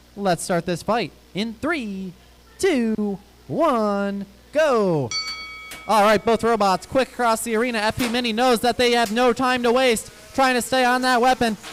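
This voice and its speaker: A man's high voice with ordinary pitch variation, at a moderate pace with long, frequent pauses and music in the background. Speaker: robot combat commentator. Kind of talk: live commentary. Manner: loud when excited. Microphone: handheld mic, uneven distance, audio issues.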